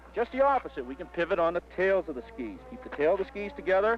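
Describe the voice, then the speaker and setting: A man with an American accent, high pitch, lively intonation and a fairly quick pace, with music in the background. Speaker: ski instructor. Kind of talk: instructional demonstration narration. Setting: outdoors on a mountain slope, 1969 film recording. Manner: friendly, encouraging, conversational.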